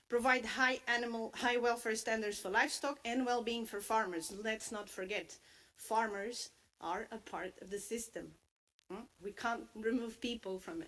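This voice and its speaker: Her bright, sharp tone sits at a fairly high pitch, and this woman's loudness swings widely. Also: ordinary pitch variation, moderate pace. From Portugal. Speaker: livestock sector expert presenter. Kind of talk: conference presentation. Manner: hesitant, many fillers.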